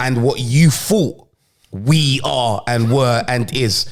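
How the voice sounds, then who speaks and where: Speaking with a London accent, a man sounds animated and shows ordinary pitch variation. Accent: London multicultural English. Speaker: podcast co-host. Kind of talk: casual chat.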